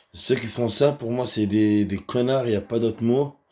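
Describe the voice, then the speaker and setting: Medium-pitched male voice, dark and mellow, monotone and flat, on a very clean recording with a silent background. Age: 20s. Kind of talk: casual talk to camera. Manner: hesitant, halting.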